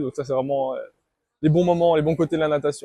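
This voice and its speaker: The dry, close sound has no echo as a man with a fairly high voice speaks in a fairly even intonation. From French-speaking Switzerland (Vaud, Morges). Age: 20s. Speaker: competitive swimmer. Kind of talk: interview answers. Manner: hesitant, many fillers and repetitions.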